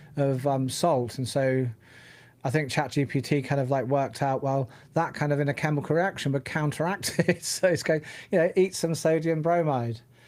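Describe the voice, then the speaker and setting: In a very clean recording with a silent background, a man with a British accent speaks at a fairly high pitch and a moderate pace, with ordinary pitch variation. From UK. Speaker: tech podcast co-host. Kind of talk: casual chat. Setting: live stream.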